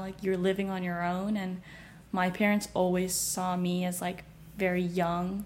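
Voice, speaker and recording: In an American accent, a woman talks at a moderate pace with a medium pitch and a dark, mellow tone. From US West Coast, San Francisco Bay Area. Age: 20s. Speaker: finance worker. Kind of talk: casual chat. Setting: at home.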